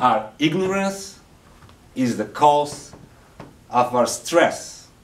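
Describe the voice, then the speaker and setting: Speaking with a non-native accent, a man is heard against noticeable background noise. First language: not English. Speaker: Toastmasters speaker. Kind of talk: public speech to audience.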